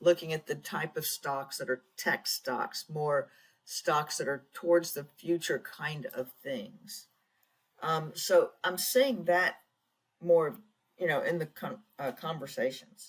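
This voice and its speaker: Speaking at a very slow pace, a woman with a fairly low pitch sounds somewhat breathy and uses lively intonation. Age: 60s. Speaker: tech founder and consultant. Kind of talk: interview. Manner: halting.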